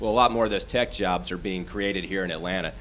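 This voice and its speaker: Over light background noise, a man speaks at a fairly quick pace in a very deep, low voice. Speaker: commercial real estate executive; panelist. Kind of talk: panel discussion. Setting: stage with audience. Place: meeting room. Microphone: handheld.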